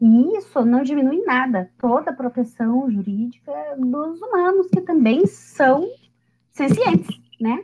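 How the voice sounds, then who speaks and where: Very slowly and at a high pitch, a woman speaks with very wide pitch swings. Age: 30s. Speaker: lawyer and animal-rights advocate. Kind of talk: casual chat.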